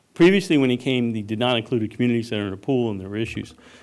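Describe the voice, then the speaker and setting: With a New England accent, a man speaks at medium pitch with ordinary pitch variation. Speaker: resident giving public comment. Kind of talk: public comment at planning commission hearing. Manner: halting, many fillers.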